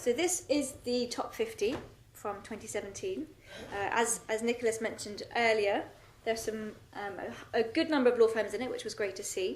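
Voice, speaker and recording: A woman with a British accent speaks at a fairly quick pace, her pitch fairly high. Her pitch varies in an ordinary way, and room echo is audible. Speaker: social mobility researcher. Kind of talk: conference presentation. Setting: stage with audience.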